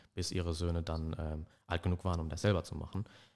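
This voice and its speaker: Very deep and low, a man's voice runs at a very fast pace in a monotone, flat delivery over a very clean recording with a silent background. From Germany, Ruhr area (Dortmund). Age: 20s. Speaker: history and German studies student. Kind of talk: casual academic chat. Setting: studio.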